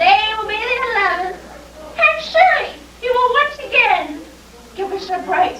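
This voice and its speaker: In a put-on character voice at an extremely high pitch, a woman speaks at a moderate pace with lively intonation and long, frequent pauses, over clear background noise and a slight echo. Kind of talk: comic overacting. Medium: stage play. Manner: prim, prim-and-proper.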